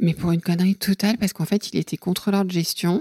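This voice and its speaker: Her intonation is fairly even as this woman talks at a very fast pace with a fairly low pitch and some vocal fry. The sound is dry and close, with no echo. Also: very clean recording, silent background. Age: 50s. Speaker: podcast guest telling her love story. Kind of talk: casual interview. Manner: halting, with many fillers.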